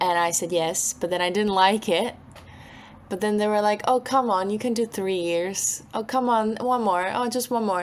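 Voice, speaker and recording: Speaking at a moderate pace with a Slovak accent, a woman uses a medium pitch and ordinary pitch variation. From Slovakia, Bratislava. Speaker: singer-songwriter. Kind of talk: interview.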